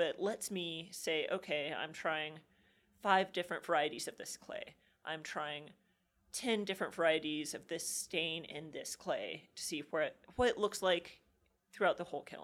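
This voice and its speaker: A woman with a normal speaking voice talks at a moderate pace, her fairly low pitch holding fairly even intonation as her loudness swings widely. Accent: American. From Kansas, US Midwest. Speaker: ceramic artist. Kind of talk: interview.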